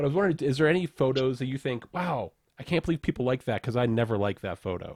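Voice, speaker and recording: The delivery is very fast with lively intonation, in a dry, close sound with no echo. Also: man. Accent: American. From upstate New York (Rochester). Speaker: co-host, former pro cyclist. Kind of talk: casual interview.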